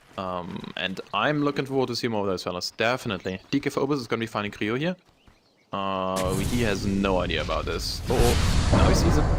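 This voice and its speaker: A man with a German accent talks at a fairly quick pace in a fairly low pitch, his intonation lively, over noticeable background noise. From Germany. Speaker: esports caster. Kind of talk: live commentary. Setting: live stream.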